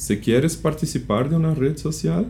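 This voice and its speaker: Using vocal fry and a dark, mellow tone, a man with a Brazilian accent talks at a fairly slow pace. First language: Portuguese (speaking Spanish). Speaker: type designer. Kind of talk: interview.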